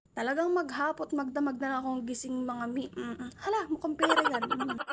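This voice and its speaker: A woman's high voice at a very fast pace, with noticeable background noise. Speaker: vlogger. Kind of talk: casual vlog narration. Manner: chatty.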